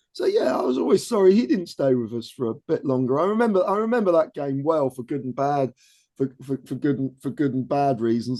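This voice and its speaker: Lively intonation and hardly any pauses mark this man's fairly quick delivery. His voice is fairly high, with a dark, mellow tone. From Scotland, Aberdeen. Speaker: football fan. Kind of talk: casual chat.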